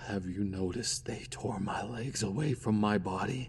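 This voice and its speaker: Clear background noise accompanies a man using a put-on character voice at a fairly low pitch and a fairly slow pace. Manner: pleading, creepy.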